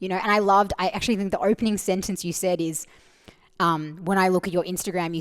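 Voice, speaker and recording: Very fast speech with fairly even intonation comes through in a very clean recording with a silent background. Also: woman. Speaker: mental fitness and performance coach. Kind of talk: casual interview conversation. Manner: loud.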